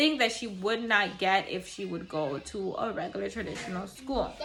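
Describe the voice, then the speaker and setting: Music plays in the background as a woman speaks. Her pace is moderate and her intonation lively. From Caribbean. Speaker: mom vlogger. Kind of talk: casual talk to camera. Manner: conversational, with fillers.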